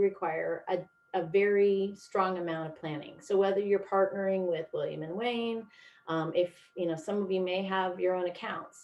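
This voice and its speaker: A woman with an American accent uses a normal speaking voice at medium pitch and a moderate pace. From US Midwest and Pacific Northwest. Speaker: product specialist presenter. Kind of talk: webinar presentation. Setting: video call.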